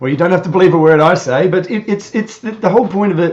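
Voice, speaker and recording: A man with an Australian accent talks at a very fast pace with lively intonation. Noticeable background noise sits behind him. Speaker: YouTuber, guest on podcast. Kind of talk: casual chat. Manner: halting, many repetitions.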